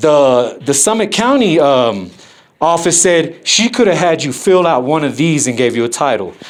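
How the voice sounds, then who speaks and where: A man talks loudly at a fairly high pitch, his voice swinging very widely in pitch, with audible room echo. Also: moderate pace. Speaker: first amendment auditor filming officials. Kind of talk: heated argument with officials. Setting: government office.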